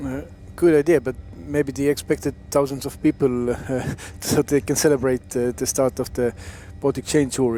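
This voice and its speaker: Fairly even intonation at a moderate pace, in an Estonian accent. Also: man. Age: young. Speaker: former racing cyclist, co-commentator. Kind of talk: live commentary.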